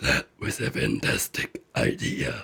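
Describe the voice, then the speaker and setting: Putting on a character voice, a man growls in a raspy tone at a fairly slow pace. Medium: read story. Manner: gruff but kind.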